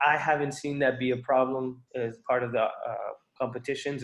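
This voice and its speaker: A man talks in a plain, everyday voice. He goes at a fairly quick pace. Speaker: student organization leader presenting competition rules. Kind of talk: informational briefing. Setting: video call.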